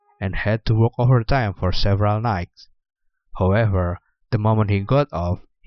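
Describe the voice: Against a quiet background, the speaker does plain reading aloud with ordinary pitch variation.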